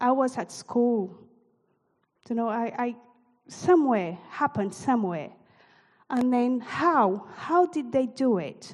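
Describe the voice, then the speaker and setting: Pausing long and often, a woman speaks at a very slow pace with a high pitch and lively intonation. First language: not English. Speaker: church leader. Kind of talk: sermon. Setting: church.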